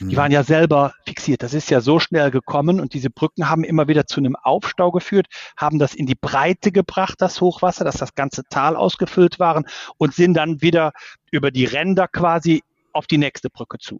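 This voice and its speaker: Using a normal speaking voice, a man talks at a fairly quick pace, his fairly high pitch carrying ordinary pitch variation. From Ahr valley, Rhineland-Palatinate, Germany. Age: 50s. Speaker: civil engineer, engineering firm owner. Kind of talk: interview.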